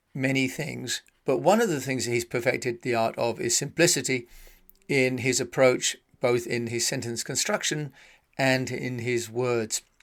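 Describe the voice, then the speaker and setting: In a British accent, a man speaks at a fairly slow pace and a medium pitch. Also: very clean recording, silent background. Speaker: podcast host. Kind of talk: podcast monologue.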